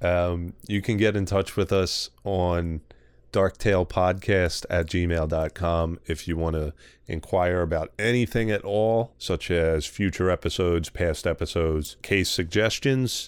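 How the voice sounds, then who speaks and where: A man with a strong Philadelphia accent, very deep and low in pitch, fairly slow, with fairly even intonation and very even loudness on a very clean recording with a silent background. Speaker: podcast host. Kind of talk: casual chat. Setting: recording at night with a dog present.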